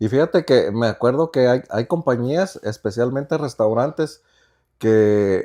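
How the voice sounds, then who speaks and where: A man's very slow speech with lively intonation over a quiet background. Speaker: podcast co-host. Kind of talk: casual chat. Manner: sounds angry when he isn't.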